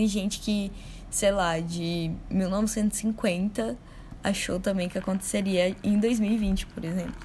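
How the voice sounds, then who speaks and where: A woman speaks at a very slow pace with a somewhat breathy voice and fairly even intonation. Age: 20s. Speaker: podcast co-host. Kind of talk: casual chat.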